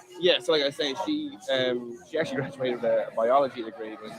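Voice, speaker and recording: A man speaks over noticeable background noise. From Ireland, Dublin. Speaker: bartending business owner. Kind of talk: casual interview chat. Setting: outdoor live street event.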